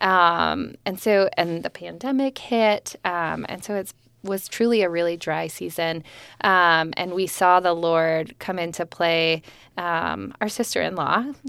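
A woman with an American accent speaks at a fairly slow pace and a fairly low pitch. The recording is very clean, with a silent background. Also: ordinary pitch variation. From New Jersey. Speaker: church member. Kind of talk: casual chat; testimony.

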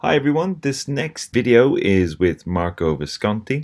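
A man talks with lively intonation. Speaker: video interviewer host. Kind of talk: interview conversation.

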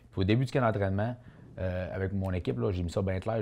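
A man with a dark, mellow tone and a fairly low pitch speaks at a very fast pace with ordinary pitch variation over a quiet background. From Quebec, Charlevoix (Baie-Saint-Paul). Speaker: boxer. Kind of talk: interview.

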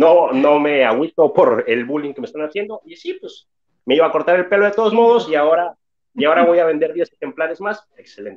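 A man speaks with a Mexican accent at a fairly quick pace. His intonation is lively. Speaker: booktuber. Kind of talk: casual chat.

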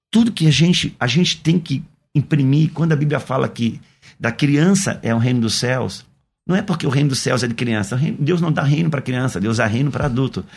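A somewhat breathy, fairly high-pitched man at a fairly quick pace, with ordinary pitch variation. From Brazil, Santa Catarina (Itajaí). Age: 50s. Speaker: pastor. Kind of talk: radio interview. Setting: radio studio.

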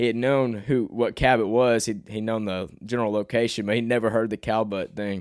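In a very clean recording with a silent background, a man with an American accent speaks at a fairly quick pace in a monotone, flat intonation. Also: medium pitch for a man. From Arkansas, US South. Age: young. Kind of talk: casual solo podcast monologue.

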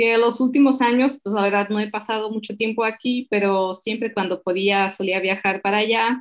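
Fairly even intonation and hardly any pauses from a woman with a Slovak accent, fairly high in pitch, at a moderate pace. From eastern Slovakia. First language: Slovak (speaking Spanish). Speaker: translator and digital marketer. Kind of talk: interview.

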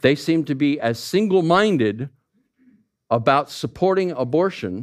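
With an American accent, a man talks at a fairly slow pace with lively intonation in a very clean recording over a silent background. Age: 50s. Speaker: pastor. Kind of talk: sermon. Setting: church.

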